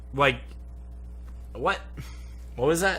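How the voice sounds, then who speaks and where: A man is heard with audible room echo around his voice. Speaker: YouTube movie reviewer. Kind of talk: casual movie review chat. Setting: home studio.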